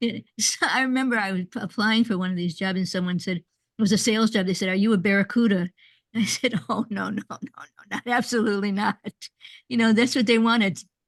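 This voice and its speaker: A somewhat breathy woman's voice, fairly high in pitch and fairly quick, with fairly even intonation and a dry, close sound without echo over a quiet background. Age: 80s+. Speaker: workshop leader. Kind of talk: online group workshop. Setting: video call. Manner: halting, with many repeated words.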